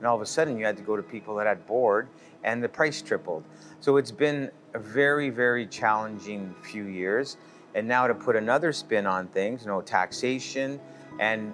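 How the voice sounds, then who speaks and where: A man with ordinary pitch variation over faint background music. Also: moderate pace. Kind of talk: interview answer. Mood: earnest, concerned about business. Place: bar.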